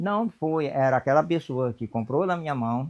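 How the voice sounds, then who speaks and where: The clip features a man speaking at a moderate pace. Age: 70s. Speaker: potter and craftsman. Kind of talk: interview testimony. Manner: halting, repetitive.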